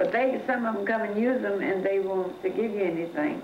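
A woman with an American accent talks at a fairly quick pace over light background noise, with audible room echo. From Oklahoma, US. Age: 70s. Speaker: washroom attendant. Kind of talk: documentary interview, life story. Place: home room.

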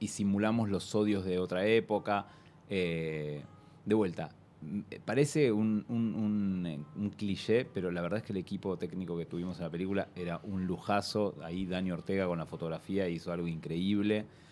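At a moderate pace, a man speaks in a very deep, low voice with a dark, mellow tone and ordinary pitch variation. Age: 30s. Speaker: film director; interview guest. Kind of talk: interview. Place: studio. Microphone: studio mic.

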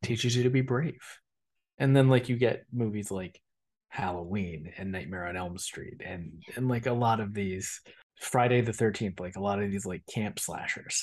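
Against a quiet background, a man speaks in a normal speaking voice at a moderate pace, with fairly low pitch and ordinary pitch variation. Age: 30s. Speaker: podcast co-host. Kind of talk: casual chat.

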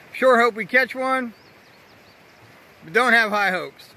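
Raising and projecting his voice, a man speaks with ordinary pitch variation in a dry sound with no echo. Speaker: train video vlogger. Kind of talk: casual vlog chat. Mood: upbeat, hopeful. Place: open country. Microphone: phone near.

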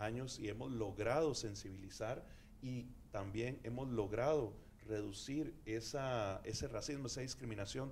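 Somewhat breathy, a man speaks with ordinary pitch variation over light background noise. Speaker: campaign representative on a panel. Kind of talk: panel discussion answer. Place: studio. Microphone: handheld.

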